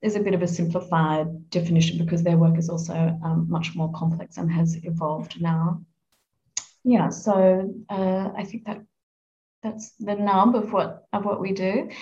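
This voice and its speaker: A woman with an Australian accent, somewhat breathy, with a dark, mellow tone, fairly even intonation and a moderate pace. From Australia, Adelaide. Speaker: UN communications manager, former journalist. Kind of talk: interview.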